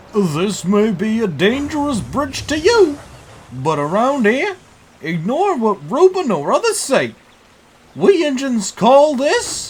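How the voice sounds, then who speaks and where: Fairly slow delivery in an extremely high-pitched, put-on character voice from a man. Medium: audio drama. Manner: rambling, confused.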